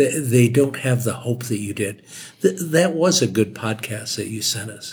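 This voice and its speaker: At a moderate pace, a somewhat breathy man with a medium pitch speaks with lively intonation and big swings in loudness. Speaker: war veteran, host's father. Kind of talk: casual chat.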